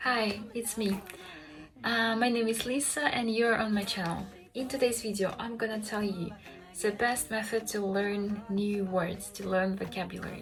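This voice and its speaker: A woman speaks with a Russian accent and fairly even intonation. Music plays in the background, and room echo is audible. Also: medium pitch for a woman, moderate pace. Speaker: language learning vlogger. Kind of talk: tutorial. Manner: hesitant, many fillers.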